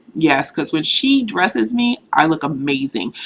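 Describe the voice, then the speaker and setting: In a bright, sharp tone with an American accent, the voice moves at a moderate pace through very wide pitch swings. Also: woman. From Boston, Mattapan. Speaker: vlogger. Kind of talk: casual vlog monologue. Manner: conversational, casual.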